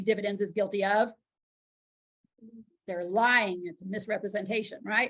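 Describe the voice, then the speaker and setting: A woman's fairly high, somewhat breathy voice at a very fast pace. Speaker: insurance licensing instructor. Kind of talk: lecture.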